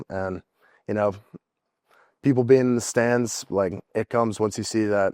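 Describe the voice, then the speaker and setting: A fairly low-pitched man with an American accent at a moderate pace, with fairly even intonation, long, frequent pauses and a dry, close sound with no echo. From Indiana. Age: 20s. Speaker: college football player. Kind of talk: interview.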